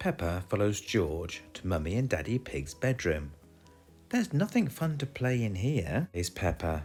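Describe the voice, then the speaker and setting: Over music in the background, a man with a British accent speaks at a fairly low pitch. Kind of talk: children's picture book read-aloud. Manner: upbeat, friendly.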